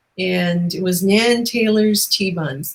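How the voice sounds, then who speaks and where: A somewhat breathy woman with a Newfoundland accent and ordinary pitch variation. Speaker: talk show host. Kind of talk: casual interview chat. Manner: animated.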